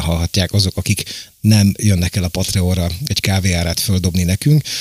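A man's somewhat breathy voice at a very fast pace, with fairly even intonation. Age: 50s. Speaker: podcast host. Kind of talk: casual political discussion.

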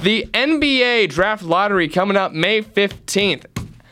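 With music in the background, a man speaks in an animated tone at a high pitch. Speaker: student radio sports host. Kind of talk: sports talk radio show. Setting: radio studio.

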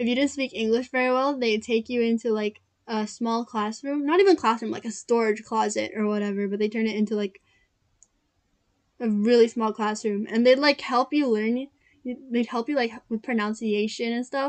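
Fairly even intonation goes with a moderate speaking pace. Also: woman, fairly high pitch for a woman.

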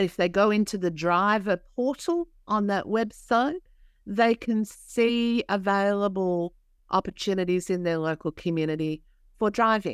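With an Australian accent, a woman speaks at a medium pitch and a fairly slow pace, with ordinary pitch variation. The recording is very clean with a silent background, the sound dry and close with no echo. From New South Wales, Australia. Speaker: community organisation CEO, social worker. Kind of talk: interview.

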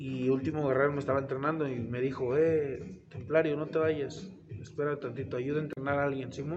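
Noticeable background noise and audible room echo fill the recording. A man speaks fairly quickly over it. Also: fairly high pitch for a man. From Mexico, Tlaxcala. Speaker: professional wrestler. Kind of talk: casual interview. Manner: halting, repeats words.

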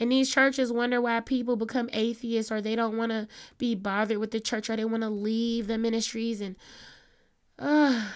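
An ordinary speaking voice from a woman, fairly high in pitch, at a moderate pace, in a very clean recording with a silent background. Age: 30s. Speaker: podcast host. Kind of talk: casual monologue. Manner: conversational, meandering.

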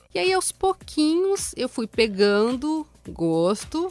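Her pitch swings very widely. The woman speaks at a very slow pace. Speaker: podcast co-host. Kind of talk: casual chat.

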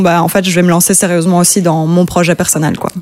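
Talking at a very fast pace, a woman can be heard over noticeable background noise. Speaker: singer-songwriter. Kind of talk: interview. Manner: calm.

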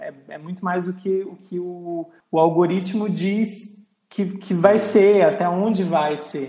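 A man speaks at a high pitch and a very slow pace. His intonation stays fairly even, with hardly any pauses. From Acre, Brazil (born Rio Grande do Norte). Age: 30s. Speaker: podcast host, journalist. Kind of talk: casual chat.

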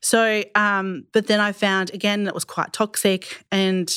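The speaker has an Australian accent and a monotone, flat intonation. The sound is dry and close with no echo, on a very clean recording with a silent background. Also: woman. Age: 30s. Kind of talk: panel discussion, testimony. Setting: studio.

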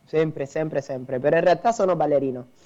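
A man with a Cuban accent speaks in a dark, mellow tone. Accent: Cuban Spanish accent in Italian. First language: Spanish (speaking Italian). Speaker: dancer, singer and dance teacher. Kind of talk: interview. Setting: live stream.

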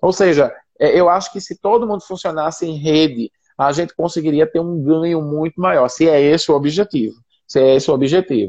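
With an ordinary speaking voice, a man talks at a fairly quick pace and fairly high pitch, showing ordinary pitch variation in a dry, close sound with no echo. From Recife, northeast Brazil. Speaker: missionary and social entrepreneur. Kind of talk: casual interview on a live stream. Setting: online live video stream.

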